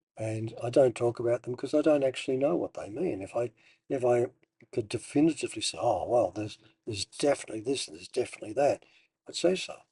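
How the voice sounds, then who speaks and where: At a very fast pace, a man speaks with a medium pitch, a dark, mellow tone, somewhat breathy delivery, lively intonation and big swings in loudness, in a dry, close sound with no echo. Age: 60s. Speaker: meditation teacher. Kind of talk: personal monologue. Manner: halting.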